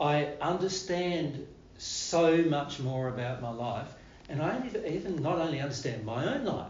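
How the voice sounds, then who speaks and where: Speaking in an Australian accent, a man uses a fairly high pitch and lively intonation. Audible room echo and noticeable background noise surround him. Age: 60s. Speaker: spiritual teacher. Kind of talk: spiritual talk to live audience. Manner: casual, repetitive phrasing.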